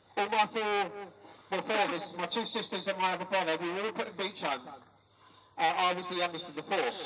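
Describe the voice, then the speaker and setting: A man's raised, projected voice sits high in pitch for a man. Long, frequent pauses break it up amid noticeable background noise. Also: ordinary pitch variation, fairly quick pace. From London. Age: 60s. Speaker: care abuse survivor. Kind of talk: protest speech.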